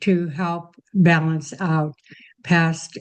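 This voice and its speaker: A woman with a fairly low pitch speaks in a plain, everyday voice with ordinary pitch variation. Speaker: retired nurse. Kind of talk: interview answer.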